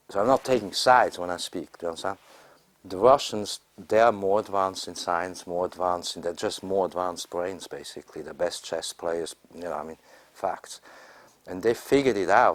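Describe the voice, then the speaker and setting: A man speaks at a fairly quick pace with a very deep, low pitch. His pitch rises and falls in an ordinary way. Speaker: astrologer and conference speaker. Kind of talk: informal panel discussion.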